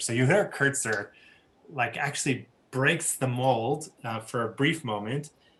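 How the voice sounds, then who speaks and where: A bright, sharp tone at a fairly slow pace, with ordinary pitch variation. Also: man. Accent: American. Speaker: rabbi teaching adult education class. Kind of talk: lecture. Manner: halting, many fillers.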